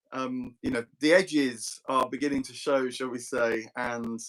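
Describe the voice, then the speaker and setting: A man talks in an ordinary speaking voice. He speaks at medium pitch and a moderate pace. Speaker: philosophy discussion host. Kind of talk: casual chat. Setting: live online video stream.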